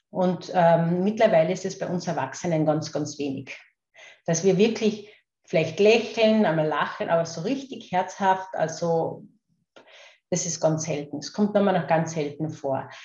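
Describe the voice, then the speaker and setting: A woman speaks in a Carinthian accent with a fairly low pitch. Her voice is somewhat breathy, with ordinary pitch variation. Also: fairly slow pace. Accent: Carinthian Austrian dialect, toned down. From Austria, Carinthia. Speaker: kinesiologist and laughter coach. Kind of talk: interview. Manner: hesitant, many fillers and repetitions.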